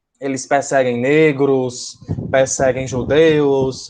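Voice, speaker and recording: A man at medium pitch with a northeastern Brazilian accent. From Brazil, Northeast. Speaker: school teacher. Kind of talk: lecture. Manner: hesitant, many fillers.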